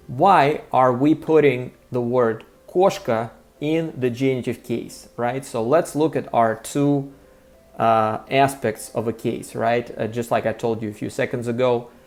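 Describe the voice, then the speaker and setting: A man in a Russian accent speaks at a fairly slow pace with a medium pitch and ordinary pitch variation. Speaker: language teacher. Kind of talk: tutorial. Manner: many filler words.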